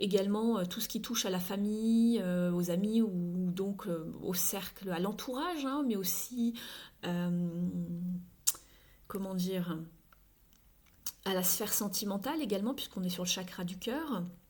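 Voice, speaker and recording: A woman with a medium pitch and ordinary pitch variation, somewhat breathy, at a fairly slow pace with long, frequent pauses and audible room echo. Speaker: tarot card reader. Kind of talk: tarot reading. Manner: halting.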